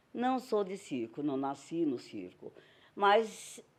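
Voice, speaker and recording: Speaking very slowly, a woman has a dark, mellow tone. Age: old. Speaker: retired circus actress and singer. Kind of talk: documentary interview testimony.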